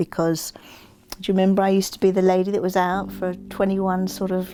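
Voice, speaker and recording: A woman speaks with an English accent. Her pitch is medium. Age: 60s. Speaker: interviewee sharing personal story. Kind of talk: casual interview conversation.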